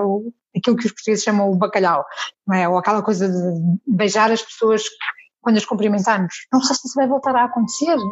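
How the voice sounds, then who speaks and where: Lively intonation and a fairly high pitch shape a woman's a plain, everyday voice. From Azores, Portugal. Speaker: TV journalist. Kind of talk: interview conversation.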